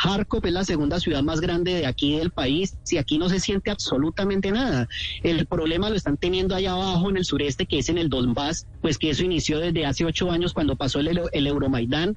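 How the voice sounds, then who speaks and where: Talking at a fairly quick pace with hardly any pauses, a man with a high pitch keeps ordinary pitch variation and very even loudness amid noticeable background noise. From Colombia, Cali. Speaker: tour guide living abroad. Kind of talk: radio phone interview.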